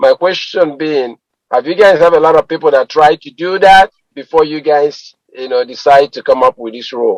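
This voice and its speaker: A man with an ordinary speaking voice talks at a moderate pace, his fairly high pitch showing ordinary variation, in a dry, close sound with no echo. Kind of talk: radio talk show host interviewing a guest.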